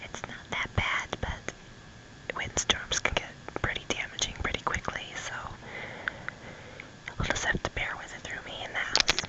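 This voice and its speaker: Whispering with an American accent at a fairly slow pace, a woman shows big swings in loudness against noticeable background noise. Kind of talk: ASMR ramble, casual talk to camera. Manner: soft-spoken, whispered.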